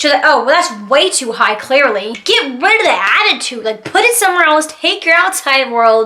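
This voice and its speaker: The voice is raised and projected, shouting with very wide pitch swings. The pace is moderate. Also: woman. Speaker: YouTuber. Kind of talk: storytime vlog. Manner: loud, yelling; animated.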